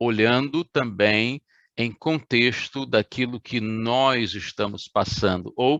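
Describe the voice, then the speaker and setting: A man speaks with fairly even intonation against a quiet background. The sound is dry and close, with no echo. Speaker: pastor. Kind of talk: sermon. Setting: online livestream. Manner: slow.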